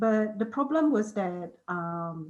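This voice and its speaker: A woman's voice sits at medium pitch and sounds somewhat breathy. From Malaysian Borneo (Sarawak), Iban community. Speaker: author. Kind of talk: panel discussion. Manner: hesitant, many repetitions and fillers.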